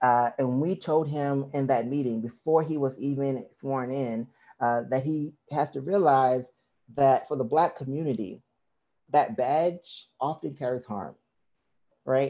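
Fairly high in pitch yet dark and mellow in tone, this man's voice moves at a fairly slow pace. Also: ordinary pitch variation. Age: 30s. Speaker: pastor and community organizer; pastor. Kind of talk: public testimony. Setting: video call. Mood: earnest, persuasive. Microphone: headset.

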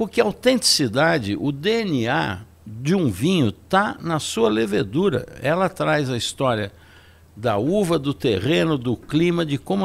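A man speaks fairly slowly at a fairly high pitch. His voice has vocal fry and very wide pitch swings. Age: 70s. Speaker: wine expert; guest. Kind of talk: casual chat. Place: studio. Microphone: studio mic.

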